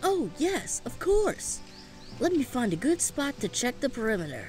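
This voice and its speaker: A put-on character voice moves at a moderate pace with clear music in the background. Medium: audio drama. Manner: earnest, polite.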